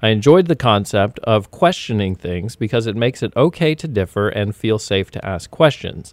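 A normal speaking voice moves at a moderate pace with hardly any pauses and lively intonation. The sound is dry and close with no echo, in a very clean recording with a silent background. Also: man, medium pitch for a man. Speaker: podcast host. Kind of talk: casual podcast chat. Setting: in studio while cohost calls in.

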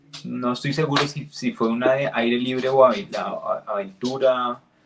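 A man talks with an unremarkable speaking voice at medium pitch. His pace is fairly slow. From Colombia, Neiva. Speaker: podcast co-host. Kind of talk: casual chat.

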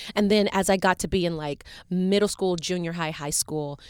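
Speaking in a normal speaking voice with an American accent, a woman with a fairly low pitch talks at a moderate pace with ordinary pitch variation. The recording is very clean, with a silent background. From US South, Chattanooga, Tennessee. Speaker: Broadway actress. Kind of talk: interview. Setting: studio.

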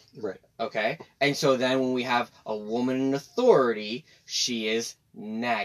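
An American-accented man uses an ordinary speaking voice, medium in pitch, with fairly even intonation at a fairly slow pace. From Texas. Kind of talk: casual chat.

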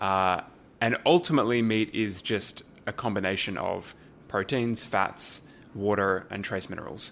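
A man with an Australian accent, fairly low in pitch, at a fairly slow pace with ordinary pitch variation. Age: young. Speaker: alternative protein think tank director. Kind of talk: casual interview.

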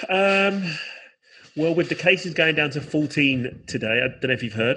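Speaking with a London accent, a man talks at a fairly high pitch. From South London, England. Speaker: musician and educator. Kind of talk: casual chat.

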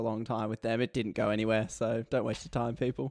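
Recorded dry and close with no echo, a man speaks at a very fast pace. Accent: Australian. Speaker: podcaster guest. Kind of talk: casual chat. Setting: remote call.

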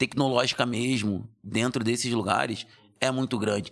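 With fairly even intonation and a medium pitch, a man talks on a very clean recording with a silent background. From Brazil, Rio de Janeiro. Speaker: lawyer and social entrepreneur. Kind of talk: interview conversation.

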